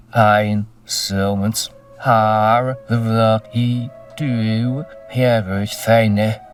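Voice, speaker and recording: A man speaks at a very slow pace in a put-on character voice, medium in pitch, with faint music in the background. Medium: comedy sketch. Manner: halting, garbled phrasing.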